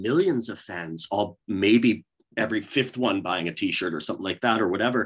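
A man with a Canadian accent talks at a fairly quick pace, his intonation lively. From Canada. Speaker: metal vocalist. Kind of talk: casual interview chat. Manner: halting, many fillers and restarts.

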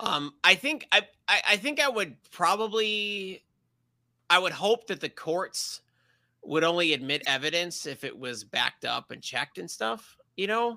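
Using a raised, projected voice, a man speaks at a fairly slow pace in a high pitch with very wide pitch swings and a bright, sharp tone, the sound dry and close with no echo on a very clean recording with a silent background. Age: 40s. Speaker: science YouTuber. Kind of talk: casual interview chat. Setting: live stream.

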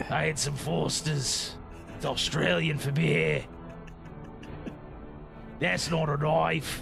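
A man's put-on character voice at a medium pitch and very slow pace, with long, frequent pauses and loud music in the background.

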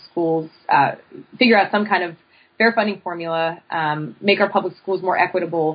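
Ordinary pitch variation in a woman's medium-pitched speech. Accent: Pennsylvania. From central Pennsylvania, State College. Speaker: professor. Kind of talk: interview.

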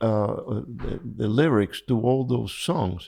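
With a Spanish accent, a man speaks at a very slow pace on a very clean recording with a silent background. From Cuba. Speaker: fly fishing angler. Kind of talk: interview. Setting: at home. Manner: calm, gentle.

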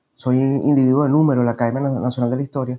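Here a man talks at a very fast pace. His pitch is fairly high for a man. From Venezuela, Caracas area (Los Teques). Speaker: historian and professor. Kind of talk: interview. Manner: halting, repeats words.

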